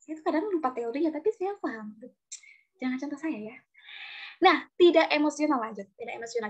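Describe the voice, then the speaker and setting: This woman talks very fast. Her voice sits high. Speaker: TV presenter and public speaker. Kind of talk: online talk. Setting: video call. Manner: casual.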